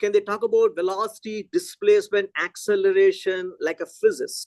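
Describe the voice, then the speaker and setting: A man with a Telugu accent speaks at a fairly quick pace in a dry, close recording with no echo. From South India, Chennai. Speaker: physics education researcher. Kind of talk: lecture Q&A discussion.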